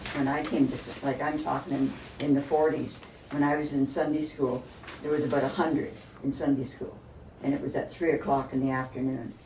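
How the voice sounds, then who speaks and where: A woman's very deep, low voice in a Canadian accent, fairly quick and fairly even in intonation, with audible room echo and noticeable background noise. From Lindsay, Ontario, Canada. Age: 80s+. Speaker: church member and former church secretary. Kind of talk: oral history interview.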